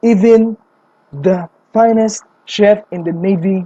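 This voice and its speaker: Recorded with a dry, close sound and no echo, a woman with a non-native accent speaks in a dark, mellow tone that is somewhat breathy. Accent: non-native English accent, self-described. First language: not English. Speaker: anime fan theorist. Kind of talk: casual video commentary. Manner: animated.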